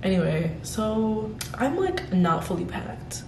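Her fairly low voice carries an audible room echo over light background noise as the woman speaks. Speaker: vlogger. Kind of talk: casual vlog chat. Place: home room. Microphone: phone near.

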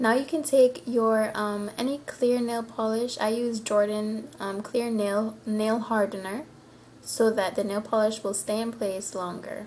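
A woman speaks with a fairly high pitch and a somewhat breathy voice. Her pace is fairly slow, her intonation fairly even, and there is light background noise. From Cayman Islands. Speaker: nail tutorial maker. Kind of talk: nail tutorial talk to camera. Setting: home, roosters crowing in background. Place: home room. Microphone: webcam.

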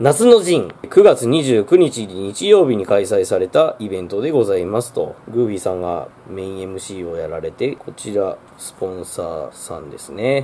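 A man speaks at a fairly slow pace with big swings in loudness, with light background noise behind him. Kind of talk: casual vlog chat. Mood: cheerful, amused storytelling. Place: shop. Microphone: phone near.

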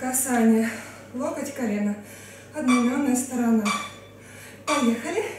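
Over light background noise and audible room echo, a woman with a high pitch speaks at a very slow pace. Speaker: fitness trainer. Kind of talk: workout instruction. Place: home room.

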